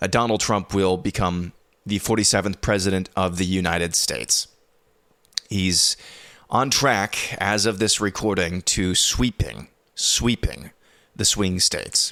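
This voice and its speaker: Quiet and at a fairly slow pace, a man speaks with a bright, sharp tone, fairly low pitch, very even loudness and long, frequent pauses, captured in a very clean recording with a silent background. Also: ordinary pitch variation. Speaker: news podcast host. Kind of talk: news commentary. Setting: home recording at night. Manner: hushed, quiet.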